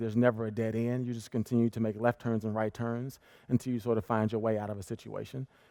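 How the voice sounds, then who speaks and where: Against a quiet background, a man with an American accent speaks very fast in a dark, mellow tone at medium pitch. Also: dry, close sound with no echo. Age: 30s. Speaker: tennis coach. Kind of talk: interview on stage.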